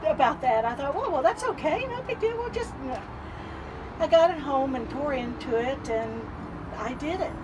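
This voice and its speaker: The speaker is a woman. Background noise can be noticed throughout. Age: 70s. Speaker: vintage trailer owner. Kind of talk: casual interview. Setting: inside a trailer at an outdoor event.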